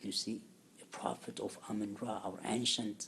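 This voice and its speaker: With an Ethiopian accent, a man speaks fairly slowly in a fairly low voice. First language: Amharic. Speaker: religious teacher. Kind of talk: lecture. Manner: halting, many fillers.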